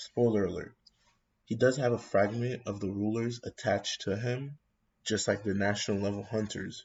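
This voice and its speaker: A man speaks at a medium pitch and moderate pace, somewhat breathy. His intonation is monotone and flat. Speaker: anime YouTuber. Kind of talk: casual commentary. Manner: mumbling, halting.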